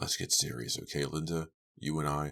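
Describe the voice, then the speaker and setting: Putting on a character voice, a man speaks raspy and very deep and low at a moderate pace, with monotone, flat intonation. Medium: read story.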